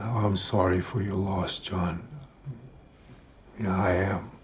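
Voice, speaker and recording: A raspy, put-on character voice moves at a fairly slow pace. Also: man, very deep, low pitch for a man. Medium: short film. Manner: laconic, matter-of-fact.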